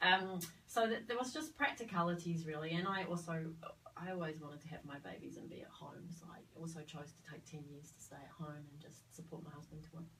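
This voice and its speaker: A woman's fairly low voice at a fairly quick pace, big swings in loudness, ordinary pitch variation, audible room echo and noticeable background noise. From Australia (Sydney). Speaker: midwife, former theatre worker. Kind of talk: interview conversation. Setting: studio. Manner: hesitant, many fillers.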